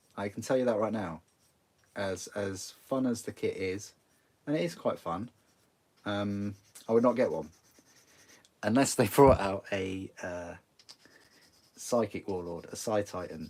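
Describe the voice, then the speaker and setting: A man puts on a character voice that is raspy and fairly low-pitched, with ordinary pitch variation. He talks at a moderate pace, leaving long, frequent pauses. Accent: northern English. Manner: swallows letters, drops some sounds.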